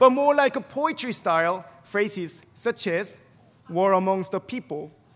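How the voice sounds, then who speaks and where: A speaker with a Korean accent talks at a fairly slow pace, with lively intonation. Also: man. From South Korea. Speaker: graduate student speaker. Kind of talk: commencement speech.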